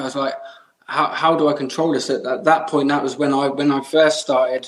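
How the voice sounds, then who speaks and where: Speaking in an English accent, a man with a fairly high voice talks at a moderate pace with flat, monotone intonation. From England. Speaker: mustache product maker. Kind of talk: podcast interview answer.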